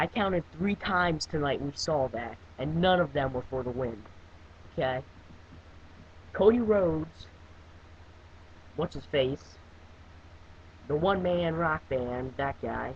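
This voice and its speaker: A man with a fairly high, somewhat breathy voice talks at a fairly slow pace with lively intonation. He leaves long, frequent pauses. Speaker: webcam wrestling reviewer. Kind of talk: casual video review monologue. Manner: halting, many fillers and restarts.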